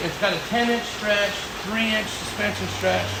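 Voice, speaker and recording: Noticeable background noise and audible room echo fill the clip as a man talks. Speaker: Jeep shop owner and builder. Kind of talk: casual shop update video. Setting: workshop.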